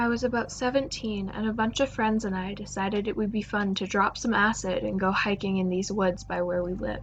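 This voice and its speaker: With an ordinary speaking voice, a woman at medium pitch talks at a fairly quick pace with fairly even intonation and hardly any pauses. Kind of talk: horror story narration.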